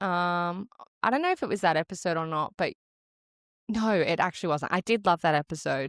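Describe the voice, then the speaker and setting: A woman's fairly low, fairly quick voice in an Australian accent, dry and close with no echo, very even in loudness, on a very clean recording with a silent background. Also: ordinary pitch variation. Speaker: podcast co-host and marathon runner. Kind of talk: casual chat. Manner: relaxed.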